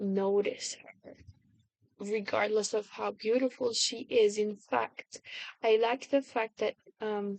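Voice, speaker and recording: With a non-native accent and a monotone, flat intonation, a woman speaks at a fairly high pitch and a very slow pace, leaving long, frequent pauses, in a dry, close sound with no echo. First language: not English. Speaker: video blogger. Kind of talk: casual monologue. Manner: halting, many fillers and restarts.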